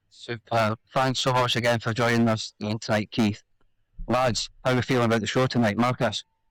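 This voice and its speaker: A man with a Scottish accent and medium pitch, fairly quick, monotone and flat in intonation, very even in loudness, with a dry, close sound and no echo. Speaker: podcast host. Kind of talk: podcast interview.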